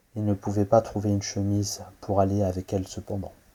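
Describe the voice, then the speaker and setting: A man speaks at a moderate pace with a dark, mellow tone, a fairly low pitch, a somewhat breathy quality and flat, monotone intonation. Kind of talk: horror story narration. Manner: low-voiced.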